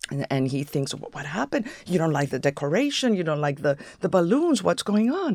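In a Puerto Rican accent, a woman with a fairly low pitch talks with very wide pitch swings and hardly any pauses. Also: fairly quick pace, very clean recording, silent background. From Puerto Rico. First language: Spanish. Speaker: actor and playwright. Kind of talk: interview conversation.

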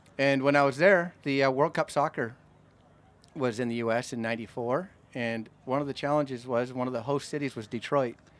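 A man with a Canadian accent speaks at a moderate pace in an unremarkable speaking voice. His pitch is medium, with ordinary pitch variation. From Canada, Calgary, Alberta. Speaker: turfgrass professor. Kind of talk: interview. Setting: outdoors at field day event.

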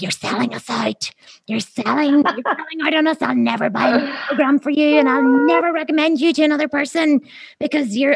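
A put-on character voice, high in pitch, delivers its lines in an angry tone. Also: moderate pace. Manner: angry, scolding.

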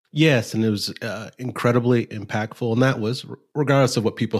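Man with a US Midwestern accent, moderate pace and fairly even intonation, on a very clean recording with a silent background. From Nebraska, US Midwest. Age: 30s. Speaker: lawyer and bird dog trainer. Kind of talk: casual interview. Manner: occasional stutter.

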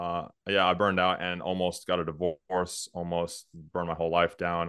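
A man with an American accent, a very deep, low pitch, and a fairly quick pace. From born Northern California, then sailing around world from 13, later New Zealand. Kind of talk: casual interview. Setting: video call.

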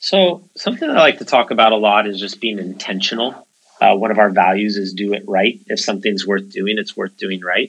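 The delivery moves at a fairly quick pace. It comes with a Californian accent. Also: man. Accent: Californian American. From San Francisco Bay Area, California. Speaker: tech company co-founder and CEO. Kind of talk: interview conversation.

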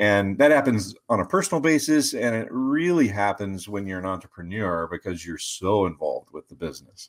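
A man with an American accent speaks at a fairly low pitch and a fairly quick pace, with hardly any pauses. His pitch swings very widely, and his loudness shifts a lot. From West Virginia. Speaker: financial advisor. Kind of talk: interview.

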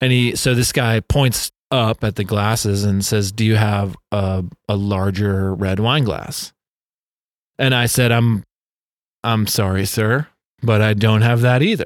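A man with a plain, everyday voice, fairly low in pitch, at a fairly slow pace with fairly even intonation and very even loudness, in a dry, close sound with no echo and a very clean recording with a silent background. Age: 40s. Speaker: cycling event founder and bike advocate. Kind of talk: casual chat. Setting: bike shop.

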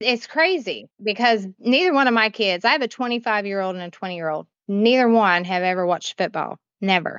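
A woman speaks fairly quickly in a Southern US accent. Her pitch is medium, with ordinary variation. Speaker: gaming community member. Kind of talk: casual chat.

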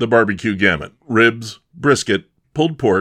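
A man's normal speaking voice with an American accent and ordinary pitch variation, dry and close with no echo, in a very clean recording with a silent background. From Bucks County, Pennsylvania. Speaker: podcast host. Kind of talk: scripted narration.

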